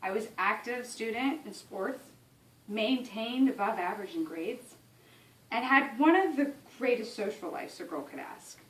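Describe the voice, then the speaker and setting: A woman's high voice with an American accent, very wide pitch swings and a moderate pace. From Ohio, US Midwest. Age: 20s. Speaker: college student. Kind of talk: class speech.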